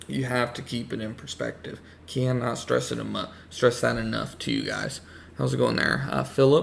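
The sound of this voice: Using lively intonation and some vocal fry, a man talks at a moderate pace in a medium pitch.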